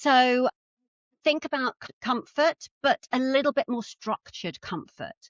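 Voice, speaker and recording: A woman with an English accent speaks at a fairly slow pace. Her voice is high, with ordinary pitch variation. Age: 60s. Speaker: personal stylist. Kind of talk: casual chat.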